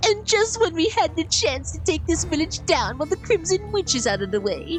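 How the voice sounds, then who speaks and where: In a put-on, whiny character voice, the speaker moves at a fairly quick pace over loud music in the background. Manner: whining, complaining.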